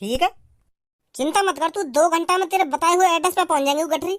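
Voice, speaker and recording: A cartoonish character voice rattles along at a very fast pace in an extremely high pitch. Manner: blunt, folksy.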